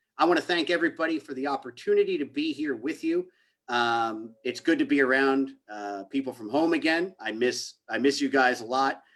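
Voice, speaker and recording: A man with a New Jersey accent, fairly high in pitch, at a fairly quick pace with ordinary pitch variation. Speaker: criminal justice reform advocate. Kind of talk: panel presentation.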